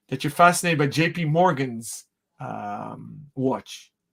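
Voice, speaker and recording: A man speaks in a normal speaking voice, pitched fairly high, with ordinary pitch variation. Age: 40s. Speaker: watch retailer and show host. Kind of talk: interview.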